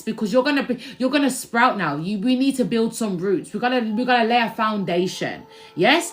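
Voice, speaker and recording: Despite noticeable background noise, a woman with a fairly high pitch speaks at a moderate pace, her tone animated and her intonation lively. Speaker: spiritual reader and musician. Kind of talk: livestream tarot-style spiritual reading. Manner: loud.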